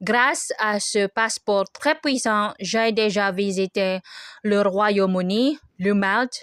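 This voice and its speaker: Speaking very slowly with a Filipino accent, a woman holds a medium pitch, ordinary pitch variation and very even loudness. The sound is dry and close with no echo, in a very clean recording with a silent background. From Philippines. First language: Filipino language (speaking French). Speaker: vlogger. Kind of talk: casual vlog monologue. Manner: halting, many hesitations.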